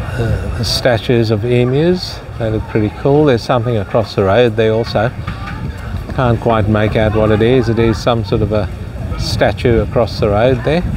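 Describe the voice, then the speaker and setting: There is noticeable background noise behind a man whose speech has ordinary pitch variation and very even loudness, in a dry sound with no echo. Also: moderate pace. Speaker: travel vlogger. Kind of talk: casual vlog chat. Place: waterside. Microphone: phone near.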